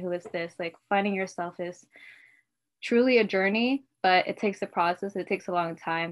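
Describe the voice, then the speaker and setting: In a very clean recording with a silent background, a woman with an ordinary speaking voice talks at a moderate pace, with a medium pitch and fairly even intonation. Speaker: podcast co-host; nursing student. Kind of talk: casual podcast chat.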